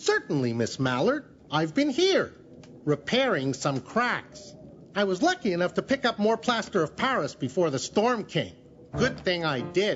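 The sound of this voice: A cartoonish character voice at a middle pitch swings very widely up and down at a moderate pace over clear background noise.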